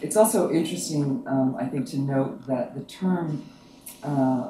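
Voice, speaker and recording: A soft-spoken man with a fairly high pitch, a moderate pace and ordinary pitch variation, amid noticeable background noise and audible room echo. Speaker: academic panel organizer. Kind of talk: academic talk.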